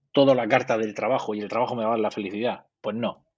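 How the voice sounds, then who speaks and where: A man talking at a very fast pace with fairly even intonation. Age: 50s. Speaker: psychologist. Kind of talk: interview.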